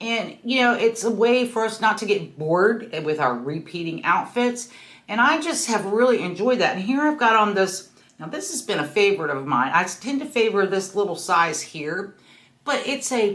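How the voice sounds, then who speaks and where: Her fairly high voice makes very wide pitch swings as this woman talks at a moderate pace. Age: 60s. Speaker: fashion vlogger. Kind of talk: casual style tutorial. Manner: casual, chatty with fillers.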